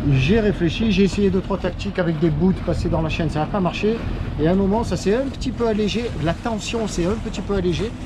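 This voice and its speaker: A man's high-pitched voice at a fairly quick pace, with ordinary pitch variation, noticeable background noise and audible room echo. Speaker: sailing vlogger. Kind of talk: travel vlog narration. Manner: casual.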